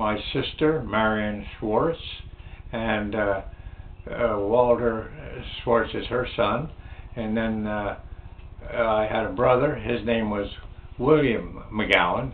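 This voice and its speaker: A man with an American accent speaks at a very slow pace in a medium pitch, leaving long, frequent pauses, with audible room echo and noticeable background noise. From New Jersey / Pennsylvania, US (Trenton area). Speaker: navy veteran. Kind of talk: oral history interview. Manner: halting, many fillers.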